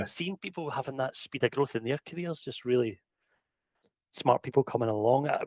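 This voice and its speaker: In a strong Scottish accent, the speaker goes at a fairly quick pace with ordinary pitch variation, in a dry, close sound with no echo. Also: man, medium pitch for a man. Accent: thick Scottish. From Scotland. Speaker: EV charging technical director, former electrician. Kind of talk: podcast interview answer.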